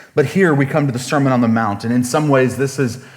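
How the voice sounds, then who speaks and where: Audible room echo surrounds a man speaking at a medium pitch with lively intonation. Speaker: pastor. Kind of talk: sermon. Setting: church. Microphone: sound issues with new equipment.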